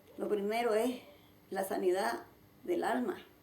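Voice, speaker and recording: At a fairly slow pace, a woman talks in a fairly high pitch, with audible room echo and noticeable background noise. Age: 70s. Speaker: church founder. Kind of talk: testimony.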